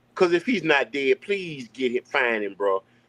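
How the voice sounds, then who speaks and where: A man with a Southern accent speaks in an animated tone at a fairly high pitch, with very wide pitch swings. The sound is dry and close, with no echo. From US South, Alabama. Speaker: guest. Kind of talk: casual chat.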